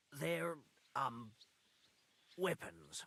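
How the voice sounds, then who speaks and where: Putting on a character voice, a man sounds raspy at a medium pitch with very wide pitch swings. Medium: video game.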